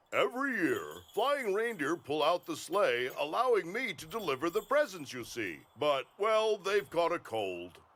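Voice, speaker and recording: This man does a cartoonish character voice pitched high, with very wide swings up and down. He keeps a moderate pace. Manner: hearty, warm, ho-ho laughing.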